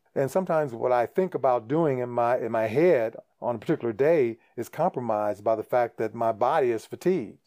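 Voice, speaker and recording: At a fairly quick pace with hardly any pauses, the voice carries a dark, mellow tone. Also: man, medium pitch for a man, ordinary pitch variation. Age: 60s. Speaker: podcast host. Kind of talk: solo monologue podcast. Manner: casual, conversational with hesitations.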